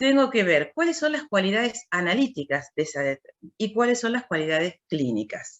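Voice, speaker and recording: A woman with a fairly high pitch and vocal fry talks at a moderate pace, her pitch swinging very widely. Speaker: university lecturer in clinical biochemistry. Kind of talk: lecture. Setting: video call.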